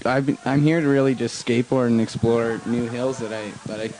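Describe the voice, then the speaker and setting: Against noticeable background noise, a man talks fairly quickly in a medium pitch with monotone, flat intonation. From western Canada (Pender Harbour, British Columbia). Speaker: downhill skateboard racer. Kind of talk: post-race interview.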